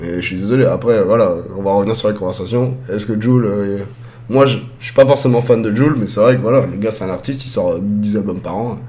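Over noticeable background noise and audible room echo, a man talks at a fairly quick pace and medium pitch with ordinary pitch variation. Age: 30s. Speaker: streamer and amusement park operator. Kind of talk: casual chat. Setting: live stream.

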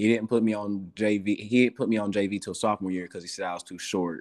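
In an East Tennessee accent, a man with a fairly low voice talks at a fairly quick pace with fairly even intonation. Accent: East Tennessee Southern American. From US South, Morristown, Tennessee. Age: 20s. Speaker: professional basketball player. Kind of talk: interview, casual chat.

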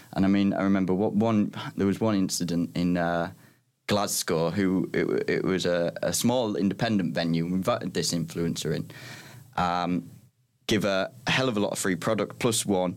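A man's very deep, low voice in a Teesside accent, at a moderate pace with ordinary pitch variation and very even loudness, on a very clean recording with a silent background. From northern England, Middlesbrough. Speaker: tech startup co-founder. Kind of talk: casual interview chat.

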